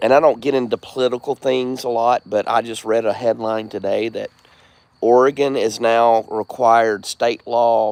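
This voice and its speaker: The sound is dry and close with no echo as a man with a Southern US accent speaks at a medium pitch. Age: 40s. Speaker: live streamer. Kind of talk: casual chat.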